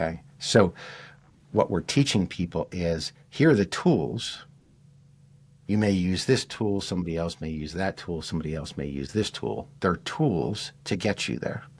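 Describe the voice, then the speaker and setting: A man's very deep, low pitch with vocal fry and lively intonation, at a fairly slow pace, on a very clean recording with a silent background. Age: 60s. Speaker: healer and teacher. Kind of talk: interview conversation.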